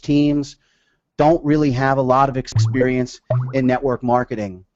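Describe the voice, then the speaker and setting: With an unremarkable speaking voice, a man talks at a fairly slow pace and fairly high pitch, his intonation fairly even. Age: 30s. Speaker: sales director and network marketer. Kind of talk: webinar talk. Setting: webinar.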